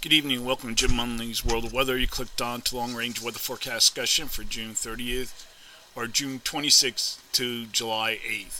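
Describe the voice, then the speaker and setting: A man at a moderate pace, monotone and flat, with noticeable background noise. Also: medium pitch for a man. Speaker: weather forecaster. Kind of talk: weather report. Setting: screen-share video narration of forecast maps. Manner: formal, measured; halting, with filler words and throat clearing.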